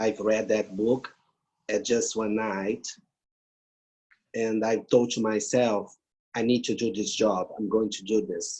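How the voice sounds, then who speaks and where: A man with a Brazilian accent speaks fairly slowly in a dark, mellow tone, monotone and flat, with long, frequent pauses. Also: medium pitch for a man. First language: Portuguese. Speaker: grief therapist and palliative care professor. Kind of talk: interview. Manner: halting non-native English.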